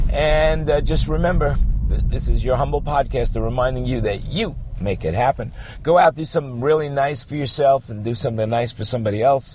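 Amid noticeable background noise, a man talks in an animated tone at a fairly quick pace. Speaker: podcaster. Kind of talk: radio dj patter. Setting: in a car. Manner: upbeat, sing-song DJ-style banter, jokey and exaggerated; rambling, sarcastic, animated.

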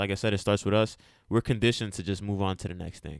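With no echo at all, the dry, close sound of a man's voice comes through in a very clean recording against a silent background. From US, Dominican and Puerto Rican heritage. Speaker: podcast co-host. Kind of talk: casual political discussion.

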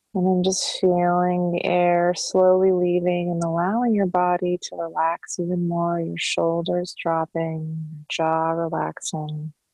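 Over music in the background, a woman speaks with a fairly low pitch and flat, monotone intonation. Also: hardly any pauses. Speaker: meditation guide and intuitive counselor. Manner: slow, unhurried pacing with long flowing run-on sentences, lingering on each body part; soft, soothing and calming, coaxing the listener to melt and sink into relaxation.

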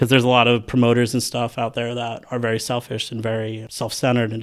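Medium in pitch, a man's voice runs at a very fast pace. It stays flat and monotone throughout. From US Northeast, New Jersey. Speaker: event promoter. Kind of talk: casual interview.

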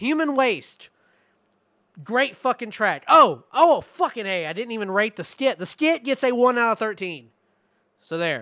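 A raised, projected voice with a bright, sharp tone moves at a fairly slow pace through very wide pitch swings. The recording is very clean, with a silent background and a dry, close sound with no echo. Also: man, extremely high pitch for a man. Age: 20s. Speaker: music podcast host. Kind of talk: album review.

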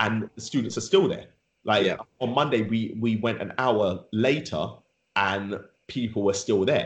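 A man with a London accent talks at a fairly slow pace and a medium pitch. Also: ordinary pitch variation. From London, England. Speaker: rapper and author. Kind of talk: interview, casual chat.

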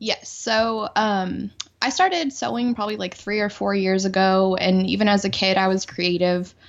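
Her voice, a woman's, stays mid-range in pitch with ordinary variation and moves at a moderate tempo. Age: 30s. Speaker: accountant and roller derby skater. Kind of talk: casual chat. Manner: animated.

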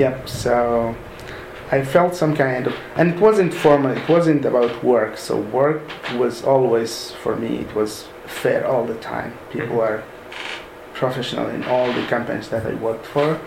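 Noticeable background noise and audible room echo surround a man at a medium pitch. He talks at a fairly slow pace with ordinary pitch variation. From Sudan. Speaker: software developer. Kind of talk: interview. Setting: mosque. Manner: halting.

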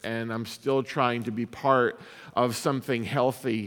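An ordinary speaking voice from a man, medium in pitch and fairly slow, in a very clean recording with a silent background. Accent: American. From upstate New York (Syracuse). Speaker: pastor and author giving a talk. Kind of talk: keynote talk; audience Q&A answers. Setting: stage with audience.

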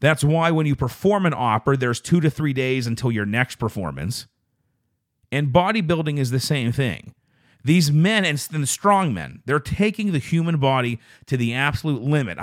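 A man talks with lively intonation at a fairly high pitch. The sound is dry and close, with no echo. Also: moderate pace, very clean recording, silent background. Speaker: podcast host. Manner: varied up-and-down inflection.

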